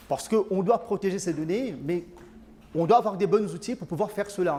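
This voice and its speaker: A man's dark, mellow tone, high in pitch, with ordinary pitch variation. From Mauritius. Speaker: IT consulting director. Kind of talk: conference talk. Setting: conference with audience. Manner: hesitant, many filler sounds.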